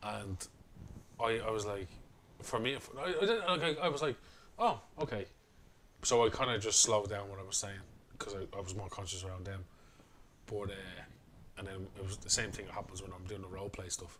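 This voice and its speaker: Mumbling at a fairly quick pace, a man with a Dublin accent speaks in a fairly low pitch, with long, frequent pauses and big swings in loudness. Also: ordinary pitch variation. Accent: Dublin Irish. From Ireland, Dublin. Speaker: podcast co-host. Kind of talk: casual chat. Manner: fast.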